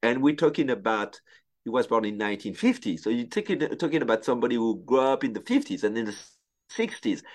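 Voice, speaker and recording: A man speaks at a fairly quick pace with a French accent. The background is quiet. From France. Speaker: sports photographer. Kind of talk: casual interview conversation. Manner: talkative.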